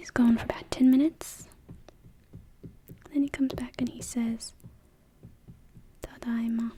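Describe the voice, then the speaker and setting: The speaker is soft-spoken and keeps a moderate pace, with long, frequent pauses. Background noise is noticeable. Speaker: language tutor. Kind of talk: soft-spoken ASMR language lesson.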